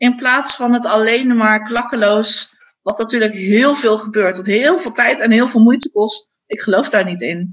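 A woman speaks in a normal speaking voice at a fairly slow pace. Her pitch varies in an ordinary way. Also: fairly high pitch for a woman. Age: 30s. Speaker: primary school teacher. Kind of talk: casual interview.

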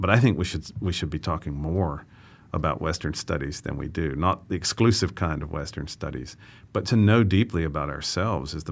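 The speaker has an American accent and a moderate pace with ordinary pitch variation. The recording is very clean with a silent background. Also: man. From US South. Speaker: astrophysics professor and dean. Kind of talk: interview.

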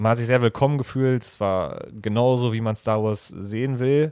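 A man talks at a fairly quick pace with fairly even intonation and a medium pitch. The recording is very clean, with a silent background. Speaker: podcast co-host. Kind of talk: casual chat. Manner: halting. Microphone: new microphone.

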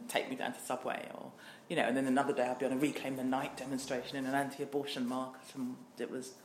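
A woman talks at a very fast pace in a very deep, low pitch. Noticeable background noise and audible room echo surround her voice. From southern England, Worthing (Nigerian heritage). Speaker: diversity trainer and business owner, LGBT activist. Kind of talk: interview. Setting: office.

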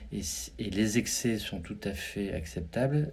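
There is a somewhat breathy quality to a man's voice, and his intonation is lively. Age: 50s. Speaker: business executive. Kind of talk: interview. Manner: halting.

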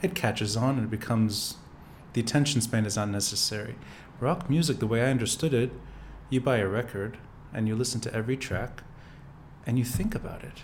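At a fairly quick pace, a man of medium pitch speaks with ordinary pitch variation, a somewhat breathy quality and long, frequent pauses. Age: 40s. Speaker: podcast host. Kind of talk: casual interview. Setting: video podcast studio.

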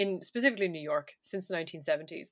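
A woman at a very fast pace with a bright, sharp tone, in a very clean recording with a silent background. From Ireland. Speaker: podcast co-host. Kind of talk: casual chat.

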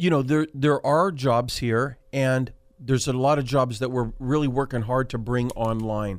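In a very clean recording with a silent background, a man with an American accent and an ordinary speaking voice talks at a moderate pace in a medium pitch, with fairly even intonation and very even loudness. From Central California, Selma (Fresno County). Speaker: county supervisor. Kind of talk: radio talk show interview.

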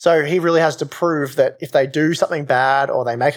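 A man with an Australian accent talks at a fairly quick pace, his fairly high voice keeping a fairly even intonation. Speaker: hardware reviewer. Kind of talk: casual chat. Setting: remote call.

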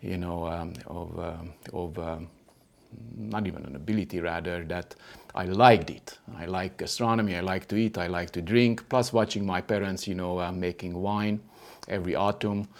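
With a very deep, low pitch, a man speaks at a moderate pace and with fairly even intonation. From Transylvania, Romania (ethnic Hungarian). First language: Hungarian. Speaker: sommelier and wine consultant. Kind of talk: casual chat. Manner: hesitant, many fillers.

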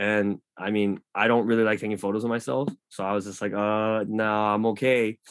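This man has an unremarkable speaking voice with an American accent and fairly low pitch. He talks at a moderate pace with hardly any pauses and fairly even intonation. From Los Angeles, US; Korea. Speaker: club community manager and marketing professional. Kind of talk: casual interview chat.

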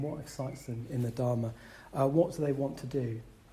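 The speaker talks at a fairly quick pace in a dark, mellow, somewhat breathy tone, with audible room echo around the voice. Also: man. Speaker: Buddhist centre chair. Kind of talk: dharma talk to fellow chairs.

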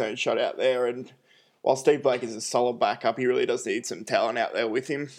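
A man rattles along at a very fast pace against a quiet background. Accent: Australian. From Australia. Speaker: basketball podcast host. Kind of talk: solo sports analysis. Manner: frequent fillers (uh, um).

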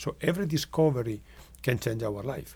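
In a very clean recording with a silent background, a man with an Italian accent speaks at a medium pitch with vocal fry. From northwest Italy. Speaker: medical researcher. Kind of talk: interview.

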